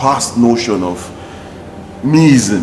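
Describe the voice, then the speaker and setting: A fairly slow pace and ordinary pitch variation, with noticeable background noise. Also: man. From Nigeria. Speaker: TV talk show host. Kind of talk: interview. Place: studio.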